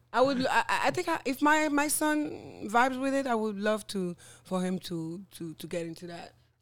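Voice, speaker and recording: Speaking with a French accent, a woman uses a fairly high pitch with very wide pitch swings and big swings in loudness. She keeps a moderate pace with hardly any pauses on a very clean recording with a silent background. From French Guiana. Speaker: social media influencer and former radio host. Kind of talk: casual interview chat. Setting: podcast recording.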